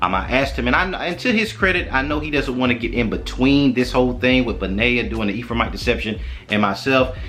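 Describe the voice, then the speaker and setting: A man talks at a very fast pace. Noticeable background noise and audible room echo surround his voice. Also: hardly any pauses. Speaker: online Bible teacher. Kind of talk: online Bible lesson.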